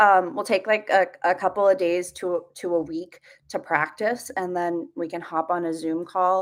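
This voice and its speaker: The recording is very clean, with a silent background. A woman speaks at medium pitch and a fairly slow pace. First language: Russian. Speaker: livestreamer teaching Russian. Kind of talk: live stream lesson. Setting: live stream. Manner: halting, many fillers.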